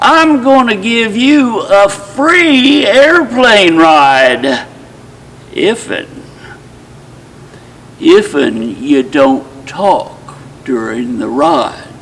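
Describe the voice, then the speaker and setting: Very slowly and with long, frequent pauses, a man speaks in a high pitch with very wide pitch swings against noticeable background noise. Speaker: retired professional storyteller, retirement community resident. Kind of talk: folksy storytelling with character voices.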